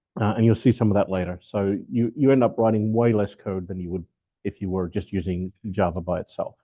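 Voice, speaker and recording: This man has an Australian accent and a fairly low pitch. He talks at a fairly quick pace with fairly even intonation. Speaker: software architect and developer evangelist. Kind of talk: technical talk. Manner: casual, with many fillers.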